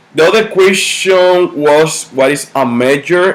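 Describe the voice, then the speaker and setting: The speaker talks at a fairly slow pace in a Dominican accent, with ordinary pitch variation. Noticeable background noise runs underneath. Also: man. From Dominican Republic. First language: Spanish. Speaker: university student. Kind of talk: class presentation. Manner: halting.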